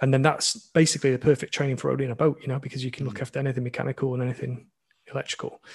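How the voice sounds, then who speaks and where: A somewhat breathy man with a Lancashire accent, monotone and flat in intonation, over a quiet background. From Blackpool, northern England. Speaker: sailing YouTuber and boat dealer. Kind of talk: casual interview. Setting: remote call.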